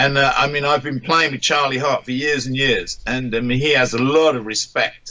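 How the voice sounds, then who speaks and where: Over noticeable background noise, a man with an English accent speaks at a fairly high pitch. His intonation is monotone and flat, at a moderate pace with hardly any pauses. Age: 60s. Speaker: musician. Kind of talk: interview. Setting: radio interview. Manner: halting.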